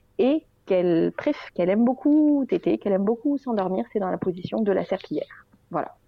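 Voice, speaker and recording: A woman at medium pitch, fairly quick, with very wide pitch swings. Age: 30s. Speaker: general practitioner and breastfeeding mother. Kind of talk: interview testimony. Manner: hesitant, many fillers.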